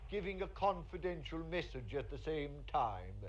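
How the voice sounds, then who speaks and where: A man with a Cork accent speaks at a moderate pace. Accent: Cork Irish. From Cork, Ireland. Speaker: actor. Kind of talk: TV comedy segment. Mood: humorous, warm. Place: street.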